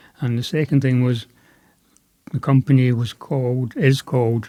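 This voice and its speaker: A man with a Scottish accent speaks at a fairly slow pace in a dark, mellow tone. His pitch is medium, with ordinary variation. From west Scotland, Ayrshire. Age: 70s. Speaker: veterinarian and pet food company founder. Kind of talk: podcast interview.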